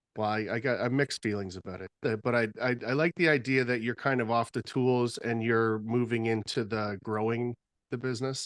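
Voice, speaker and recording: In a dry, close sound with no echo and a quiet background, a man speaks at a fairly quick pace, medium in pitch with fairly even intonation. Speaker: podcast host, drywall contractor. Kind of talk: casual chat. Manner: halting, repetitive starts.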